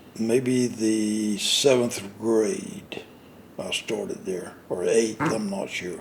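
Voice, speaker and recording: Noticeable background noise sits behind a man with a Florida accent. He speaks very slowly at a medium pitch with ordinary pitch variation. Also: long, frequent pauses. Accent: Southern US (Florida). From central Florida (Avon Park). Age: 80s+. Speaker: citrus grower and nurseryman. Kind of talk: interview. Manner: halting.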